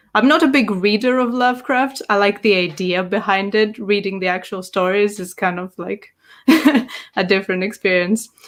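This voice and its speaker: With a Greek accent, a woman speaks at medium pitch and a moderate pace in a very clean recording with a silent background. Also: ordinary pitch variation. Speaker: tabletop game master. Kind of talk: podcast interview.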